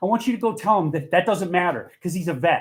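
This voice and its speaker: A man talks loudly. His pace is fairly quick. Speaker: resident speaking at public comment. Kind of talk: public comment at town meeting. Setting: town board meeting hall. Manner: fast.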